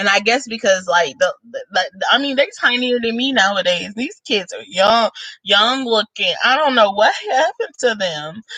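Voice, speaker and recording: A woman's bright, sharp, fairly high voice with lively intonation, a moderate pace and hardly any pauses, dry and close with no echo. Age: 20s. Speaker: YouTuber. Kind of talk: casual vlog chat. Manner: casual, rambling with colloquialisms.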